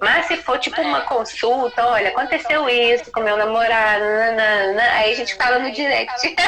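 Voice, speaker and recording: Against noticeable background noise, a woman with a fairly high pitch talks at a moderate pace. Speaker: psychologist, live co-host. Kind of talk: live stream chat. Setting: live video stream. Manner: loud.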